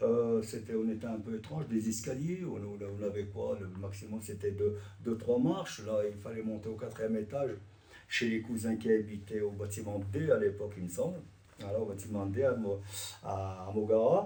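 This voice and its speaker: A man speaks with ordinary pitch variation. Noticeable background noise and audible room echo come through. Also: fairly low pitch for a man, moderate pace. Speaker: immigrant witness. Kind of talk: testimony. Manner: halting.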